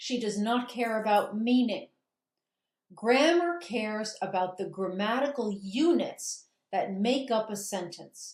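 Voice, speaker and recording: Somewhat breathy and fairly high, a woman's voice moves at a fairly slow pace with lively intonation. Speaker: grammar teacher. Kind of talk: recorded lecture.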